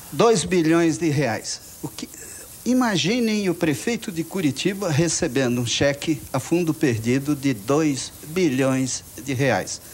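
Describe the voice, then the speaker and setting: Lively in intonation and fairly high in pitch, a man speaks at a very slow pace. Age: 60s. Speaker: audience member. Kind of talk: audience question at debate. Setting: TV studio with audience.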